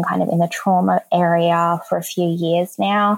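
A woman with an Australian accent speaks fairly slowly in a fairly low voice. The recording is very clean, with a silent background. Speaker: counsellor and speech pathologist. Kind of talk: interview.

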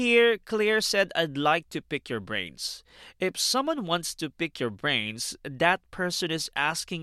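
A man with a high, bright, sharp voice speaks at a fairly slow pace with very wide pitch swings, in a very clean recording with a silent background and a dry, close sound with no echo. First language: not English. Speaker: language-learning podcast host. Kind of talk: educational explanation.

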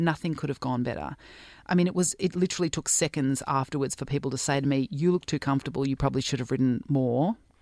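A woman with an Australian accent at a very fast pace, her pitch very deep and low, in a dry, close sound with no echo and a very clean recording with a silent background. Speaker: doctor, cyclist and sports commentator. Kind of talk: interview conversation.

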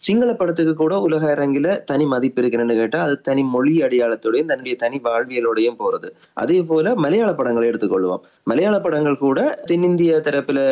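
A man speaks at a fairly high pitch with lively intonation. His loudness stays very even throughout. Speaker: film director. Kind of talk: interview.

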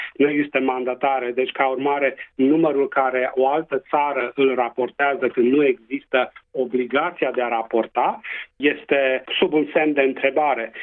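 A man speaks with a Transylvanian accent at medium pitch and a moderate pace. His loudness stays very even. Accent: Transylvanian Romanian. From Transylvania, Romania. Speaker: public health doctor. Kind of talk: radio interview.

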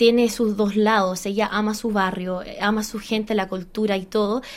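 With an English accent, the speaker keeps a moderate pace and fairly even intonation. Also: woman. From Australia, Chilean background. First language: English (speaking Spanish). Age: 30s. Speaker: musical theatre actress. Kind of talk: interview. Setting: studio.

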